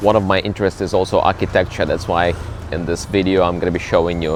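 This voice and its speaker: Over background music, a man with a very deep, low pitch speaks at a moderate pace with fairly even intonation. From Ukraine, Kyiv. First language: Ukrainian or Russian. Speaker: travel vlogger and cruise ship entertainer. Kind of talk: casual travel vlog. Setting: outdoors, walking in city.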